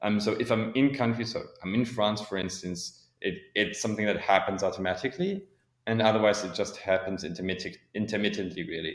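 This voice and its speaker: Fairly quick and fairly low-pitched, this man's speech has ordinary pitch variation and a plain, everyday voice. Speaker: podcast guest, neurodiversity advocate. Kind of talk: interview conversation.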